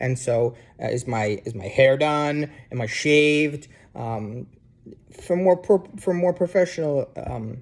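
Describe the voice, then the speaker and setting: This man has an American accent and a fairly high pitch, moving at a fairly slow pace with lively intonation. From New Jersey, US. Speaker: university instructor. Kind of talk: casual lecture to students. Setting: sitting on couch at home, video. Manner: hesitant, many fillers.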